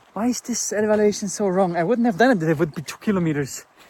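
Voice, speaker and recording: With a German accent, a man talks at a fairly quick pace in a high pitch and lively intonation. Music plays in the background. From Germany. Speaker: motorcycle travel vlogger. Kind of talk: travel vlog. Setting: outdoors.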